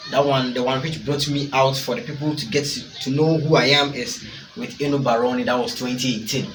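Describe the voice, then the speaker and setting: Over noticeable background noise and audible room echo, a man with a Ghanaian accent talks at a fairly quick pace, his fairly high pitch showing ordinary variation. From Ghana, Ashanti. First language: Twi. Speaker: rapper. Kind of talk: interview.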